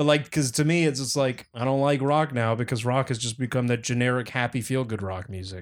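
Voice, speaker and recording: A man speaks fairly quickly in an ordinary speaking voice at medium pitch with ordinary pitch variation. The recording is very clean, the background silent. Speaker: podcast co-host. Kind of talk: casual banter. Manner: casual, profane.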